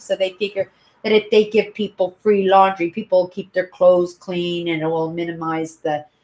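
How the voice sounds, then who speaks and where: A woman speaks with a Canadian accent at a moderate pace, her intonation fairly even. She has an unremarkable speaking voice. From Manitoba, Canada. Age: 50s. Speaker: YouTuber. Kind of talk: casual live-stream chat. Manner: rambling, conversational.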